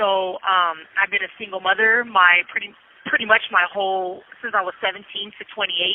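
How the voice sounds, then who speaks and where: An American accent comes through. The pace is moderate. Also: woman, medium pitch for a woman. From Southern California, San Bernardino. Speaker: prison inmate. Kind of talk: testimony. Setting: phone call. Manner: animated.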